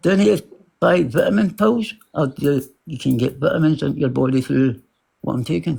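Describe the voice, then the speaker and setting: Somewhat breathy, with a dark, mellow tone, a man's voice makes very wide pitch swings. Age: 50s. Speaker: livestream caller. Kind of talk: casual chat. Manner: halting.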